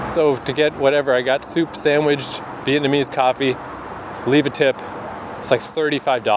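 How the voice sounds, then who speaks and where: A man's fairly high, monotone voice at a moderate pace, broken by long, frequent pauses, over noticeable background noise. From New Brunswick, Canada. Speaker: travel podcaster. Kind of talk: solo casual monologue. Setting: travelling in Montreal.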